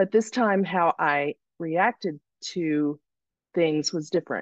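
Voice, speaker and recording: The woman's fairly low voice moves at a fairly slow pace with ordinary pitch variation, captured in a dry, close recording with no echo and a quiet background. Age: 50s. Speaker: coaching client. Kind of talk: live Q&A testimony.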